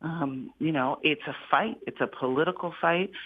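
With an American accent and a plain, everyday voice, a woman talks at a fairly slow pace and a fairly low pitch, with ordinary pitch variation. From United States. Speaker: political commentator and policy expert. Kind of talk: radio interview.

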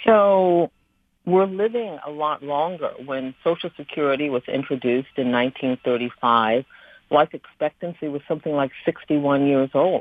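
Her pitch very deep and low, a woman speaks at a fairly slow pace. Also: ordinary pitch variation. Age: 60s. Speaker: author. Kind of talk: radio interview.

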